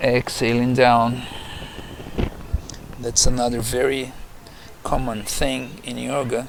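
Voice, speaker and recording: A man speaks at a medium pitch in a calm tone, with noticeable background noise behind him. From Brazil. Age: 60s. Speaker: yoga teacher. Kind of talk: guided yoga instruction. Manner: calm, slow.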